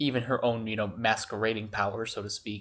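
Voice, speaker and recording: Quietly, a man with a medium pitch talks at a fairly quick pace in a monotone, flat intonation. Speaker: student. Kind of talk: casual fan theory talk. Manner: quiet, hushed.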